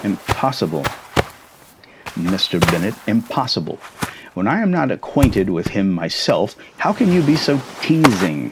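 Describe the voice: Using a put-on character voice with a husky, rough edge, a man speaks at a fairly slow pace and fairly low pitch, making big pitch swings.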